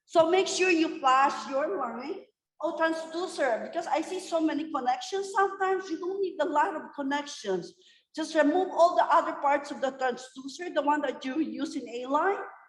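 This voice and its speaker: Loud and high-pitched, a woman talks at a moderate pace with ordinary pitch variation. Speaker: nurse educator. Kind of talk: lecture. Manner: loud, emphatic.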